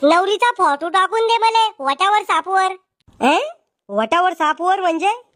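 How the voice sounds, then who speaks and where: In a cartoonish character voice, a woman speaks at an extremely high pitch and a moderate pace, with lively intonation and very even loudness, in a dry, close sound with no echo. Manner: loud, rude, quick-tempered.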